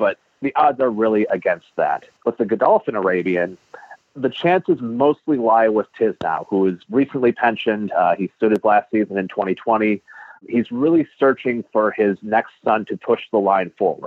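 At a moderate pace, a man talks in an ordinary speaking voice with medium pitch and ordinary pitch variation. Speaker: horse racing writer. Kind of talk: interview.

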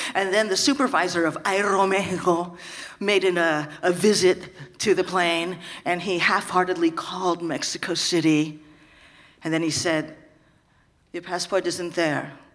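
Through noticeable background noise, a fairly low-pitched woman speaks with fairly even intonation and long, frequent pauses. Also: moderate pace. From San Francisco. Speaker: storyteller, comedian. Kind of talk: live storytelling.

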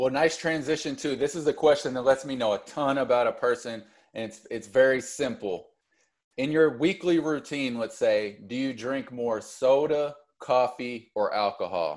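An ordinary speaking voice from a man at medium pitch, moderate pace and ordinary pitch variation, with big swings in loudness in a very clean recording with a silent background. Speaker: podcast host. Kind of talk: casual interview chat.

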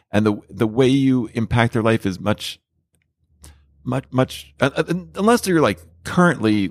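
A man with an American accent at a medium pitch and moderate pace, with very wide pitch swings, in a dry, close recording with no echo, very clean and with a silent background. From New Jersey (Edison). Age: 50s. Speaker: author and TV personality. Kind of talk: casual chat. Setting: bar.

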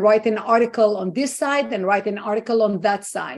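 A woman with a fairly high voice and an Israeli accent speaks at a moderate pace with fairly even intonation against a quiet background. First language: Hebrew. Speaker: activist and organization founder. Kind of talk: interview.

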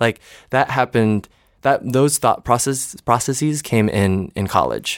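A man with an American accent has a normal speaking voice at medium pitch with ordinary pitch variation. He talks at a fairly slow pace on a very clean recording with a silent background. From Michigan, East Lansing. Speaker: Broadway performer. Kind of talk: casual chat.

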